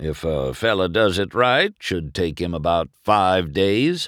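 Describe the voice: A man's put-on character voice, low-pitched with big pitch swings, fairly bright in tone and slow, on a very clean recording with a silent background.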